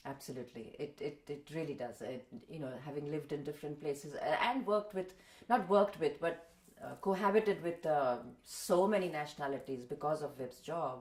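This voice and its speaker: Amid noticeable background noise, a woman with an Indian accent and a very deep, low pitch talks at a fairly quick pace with lively intonation and big swings in loudness. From India, Mumbai. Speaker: voice-over artist and translator. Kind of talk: interview. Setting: home.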